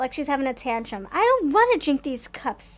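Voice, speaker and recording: Speaking at a fairly quick pace, a woman talks in a high pitch. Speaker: tarot card reader. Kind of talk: casual tarot reading commentary. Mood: amused, playful.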